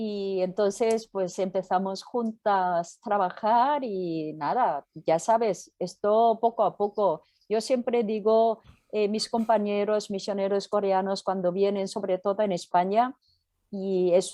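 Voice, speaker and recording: A woman's dark, mellow voice in a Korean accent, medium in pitch, fairly even in intonation, very slow, over a quiet background. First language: Korean (speaking Spanish). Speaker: pastor and missionary. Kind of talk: interview. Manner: halting.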